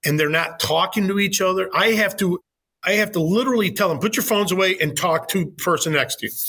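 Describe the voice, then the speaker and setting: An enthusiastic man talks at a very fast pace in a raised, projected voice, high-pitched with ordinary pitch variation. His tone is bright and sharp, and his loudness stays very even. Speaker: high school teacher. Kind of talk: interview.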